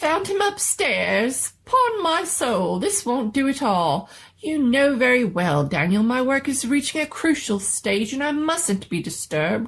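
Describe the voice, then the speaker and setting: A female-sounding, squeaky put-on character voice with a high pitch and very wide pitch swings. It moves at a fairly slow pace with hardly any pauses. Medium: read story. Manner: fussy, old-fashioned exclamations.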